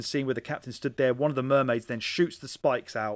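A man with a British accent speaks at a fairly high pitch. The recording is very clean with a silent background. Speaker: podcast host. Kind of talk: casual chat. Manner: joking, casual, swears.

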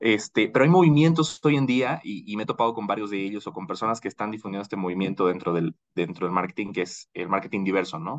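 Speaking at a very fast pace with hardly any pauses, a man keeps his voice fairly low. His intonation is lively. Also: dry, close sound with no echo. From Bolivia. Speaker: marketing professional. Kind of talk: casual chat.

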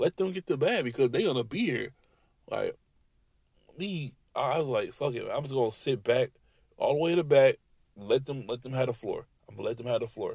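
A man talks at a fairly quick pace, broken by long, frequent pauses and big swings in loudness. The sound is dry and close with no echo. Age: 30s. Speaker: podcaster and retail sales rep. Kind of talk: angry rant, venting on his job. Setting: in a car, driving late at night. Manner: fired up, profane, repetitive, with heavy 'you know what I'm saying' filler; defiant, ranting, braggadocious, with stretches of stop-start repetition.

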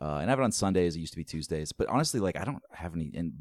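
Vocal fry runs through this voice with an American accent, in a very clean recording with a silent background. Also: man. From US East Coast. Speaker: comedian and comedy show producer. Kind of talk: casual interview chat. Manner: loud.

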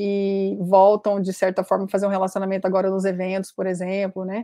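Recorded very cleanly against a silent background, a woman speaks at a medium pitch. Her tone is dark and mellow, and her pace is moderate. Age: 50s. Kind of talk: interview.

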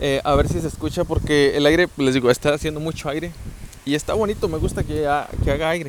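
Noticeable background noise sits behind a man whose voice is fairly high and whose delivery is fairly quick. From Mexico, southern Zacatecas. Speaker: podcaster. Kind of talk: casual monologue. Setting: rural home, later outdoors at night. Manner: softer than usual; articulated.

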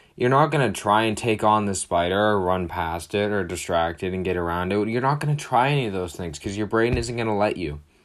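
A man's plain, everyday voice, fairly low in pitch with ordinary pitch variation, at a fairly quick pace with hardly any pauses. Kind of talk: pep talk. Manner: earnest, direct, encouraging, conversational with a motivational push.

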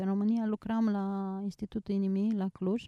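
The voice is a woman's, medium in pitch with a dark, mellow tone. The sound is dry and close, with no echo. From Romania, Suceava. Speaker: small business owner. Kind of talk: interview. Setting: outdoors.

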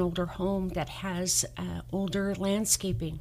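A woman speaks fairly slowly with vocal fry in an American accent. Her intonation stays monotone and flat. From Southern California. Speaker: mortgage lender. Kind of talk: radio interview.

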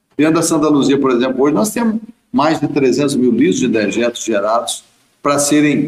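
A man speaks with a fairly high voice. His pitch swings very widely. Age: 60s. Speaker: dairy farm owner. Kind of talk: interview.

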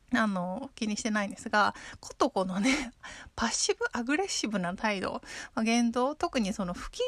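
A woman speaks in a plain, everyday voice at a fairly high pitch and a fairly quick pace, with ordinary pitch variation and a dry, close sound with no echo. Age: 30s. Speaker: podcast host. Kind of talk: casual monologue. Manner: frequent fillers.

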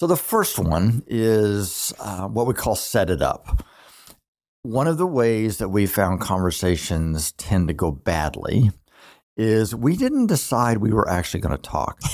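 On a very clean recording with a silent background, a man speaks at a fairly slow pace with a fairly low pitch. His lively intonation comes in an unremarkable speaking voice. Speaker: relationship therapist podcast host. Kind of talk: casual educational talk. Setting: studio with two microphones.

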